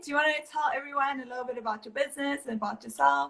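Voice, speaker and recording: A woman talks very fast in a high voice. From South Africa. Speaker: livestream host. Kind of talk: casual interview. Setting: live video call.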